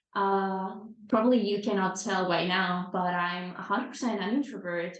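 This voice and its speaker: A woman's medium-pitched voice at a moderate pace, ordinary pitch variation and audible room echo. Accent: Spanish. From Venezuela. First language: Spanish. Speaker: time management coach. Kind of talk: podcast interview.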